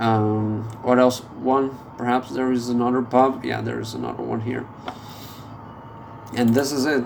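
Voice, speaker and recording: With audible room echo and noticeable background noise, a man with a medium pitch speaks at a fairly slow pace in a flat, monotone way, with long, frequent pauses. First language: not English. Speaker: gameplay video creator. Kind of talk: gameplay commentary. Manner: halting, many fillers.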